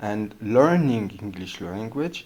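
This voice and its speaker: With a strong non-native accent, a man speaks in a dark, mellow tone and lively intonation. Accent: thick non-native English. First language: not English. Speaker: podcast host, English learner. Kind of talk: casual monologue. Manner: halting, many fillers and hesitations.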